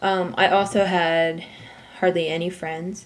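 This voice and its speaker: The woman's intonation stays fairly even as she speaks. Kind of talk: casual talk to camera. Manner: monotone.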